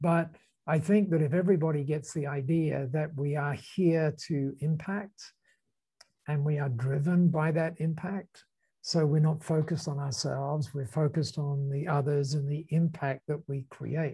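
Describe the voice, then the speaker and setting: A man's fairly high, somewhat breathy voice with a dark, mellow tone, an Australian accent, fairly even intonation and a moderate pace. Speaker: business founder and speaker. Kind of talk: casual chat. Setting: video call.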